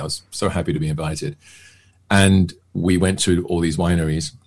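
A man with a southern English accent talks with fairly even intonation. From England, near London. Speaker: actor and magician; actor. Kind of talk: casual chat. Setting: podcast interview.

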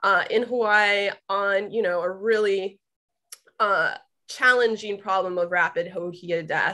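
Woman with a bright, sharp tone, fairly even intonation and a fairly slow pace, against a quiet background. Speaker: webinar host introducing guests. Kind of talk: speaker introduction. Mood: warm, friendly.

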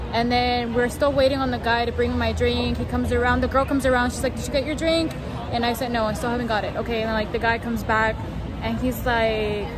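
A woman talks at a very fast pace. Clear music plays in the background. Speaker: vlogger. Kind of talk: casual vlog chat. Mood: annoyed, storytelling. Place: street. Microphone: phone near.

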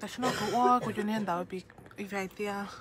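A woman speaks with a Southeast Asian accent at a medium pitch, with ordinary pitch variation. Background noise is noticeable. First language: Hmong (speaking Korean). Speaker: vlogger. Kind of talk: casual vlog. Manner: halting.

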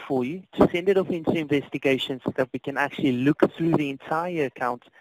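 A man with a South African accent talks at a very fast pace, his voice dry with no echo, amid noticeable background noise. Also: hardly any pauses. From South Africa, Cape Town. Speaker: customer service agent. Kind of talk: customer service phone call; phone customer service talk. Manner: polite, hesitant with fillers. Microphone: phone line.

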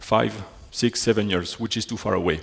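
A man speaks at a fairly quick pace with a French accent against a quiet background. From Belgium. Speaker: software technology specialist. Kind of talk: technical conference talk. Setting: stage with audience. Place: hall.

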